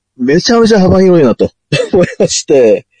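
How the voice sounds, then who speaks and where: Here a man speaks with a dark, mellow tone. The sound is dry and close, with no echo. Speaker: internet radio host. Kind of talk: casual chat.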